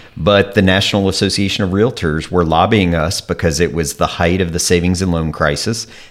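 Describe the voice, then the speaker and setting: With noticeable background noise behind him, a man with a very deep, low pitch talks at a fairly quick pace with fairly even intonation. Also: hardly any pauses. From Kentucky. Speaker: real estate association executive. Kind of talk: interview.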